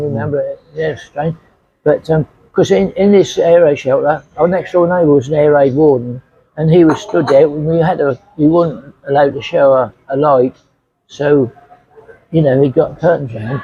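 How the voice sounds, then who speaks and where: Speaking at a moderate pace with an East Anglian accent, a man with a fairly high pitch sounds somewhat breathy and shows ordinary pitch variation. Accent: English (Suffolk). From England. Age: 80s+. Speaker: retiree. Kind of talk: interview answer.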